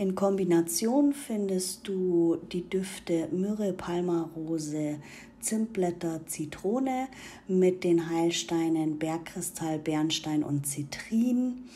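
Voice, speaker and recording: At a very slow pace, a woman speaks in a fairly low voice whose tone is warm and calm as well as dark and mellow, with ordinary pitch variation. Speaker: spiritual content creator. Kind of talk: guided meditation; instructional talk with ritual tips. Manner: calm, soothing, gentle; slow, warm, intimate.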